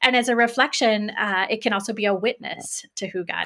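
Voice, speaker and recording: With an American accent and a bright, sharp tone, a woman speaks at a moderate pace with vocal fry and fairly even intonation. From US Midwest, Greenfield, Indiana. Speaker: theology professor. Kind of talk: interview conversation.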